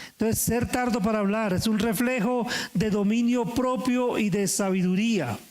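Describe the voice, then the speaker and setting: A man is speaking. His voice has audible room echo. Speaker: pastor. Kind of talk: sermon.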